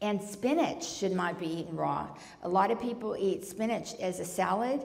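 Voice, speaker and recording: A woman talks with ordinary pitch variation at a moderate pace, her voice carrying audible room echo over noticeable background noise. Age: 60s. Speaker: Ayurveda author and speaker. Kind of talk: lecture Q&A. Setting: retreat talk with audience. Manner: animated.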